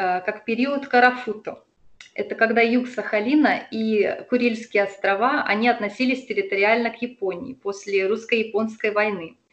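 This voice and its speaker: A woman talks at a moderate pace in an unremarkable speaking voice. Her pitch is fairly high, with ordinary variation. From Russian Far East, Sakhalin. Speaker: expat local guide. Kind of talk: interview.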